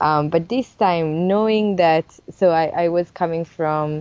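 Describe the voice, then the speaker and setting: A woman's fairly slow speech with fairly even intonation, in an Italian accent. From Italy, Sardinia. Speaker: illustrator and picture book author. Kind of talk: interview.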